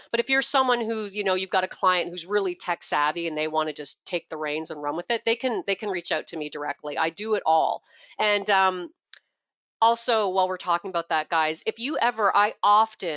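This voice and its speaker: With a Canadian accent, the speaker uses a bright, sharp tone, lively intonation and a fairly quick pace, in a dry, close sound with no echo against a quiet background. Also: woman, medium pitch for a woman. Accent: Canadian, noticeable. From Canada. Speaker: product trainer. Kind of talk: tutorial.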